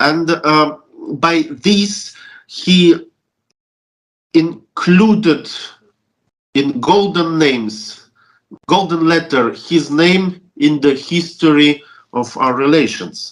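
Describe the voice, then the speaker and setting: Speaking at a very slow pace with long, frequent pauses, a man with a Russian accent uses a high pitch. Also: ordinary pitch variation. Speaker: Orthodox deacon, church relations official. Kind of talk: interview, recounting memories. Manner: halting, many fillers and restarts.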